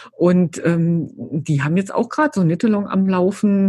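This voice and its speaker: At a moderate pace, a woman speaks at medium pitch in a dark, mellow, somewhat breathy tone. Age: 50s. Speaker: yarn company employee. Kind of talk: casual interview chat.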